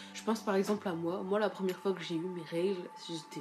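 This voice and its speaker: Light background noise sits under a woman speaking at a moderate pace. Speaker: vlogger. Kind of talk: casual vlog chat. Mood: earnest, opinionated. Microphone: phone near.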